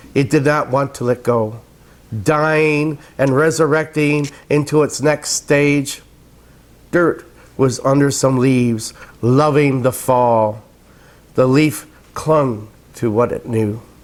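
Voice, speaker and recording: Speaking at a very slow pace with long, frequent pauses, the voice shows ordinary pitch variation. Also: man. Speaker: poet. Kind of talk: poetry reading. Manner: loud.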